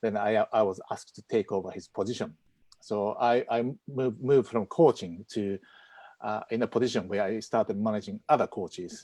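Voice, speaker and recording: Talking at a fairly quick pace with a strong Japanese accent, a man has a fairly low, dark and mellow voice and fairly even intonation, recorded dry and close with no echo against a quiet background. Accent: heavy Japanese. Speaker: property investor, former squash coach. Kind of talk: live-streamed interview. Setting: video call streamed live. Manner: halting.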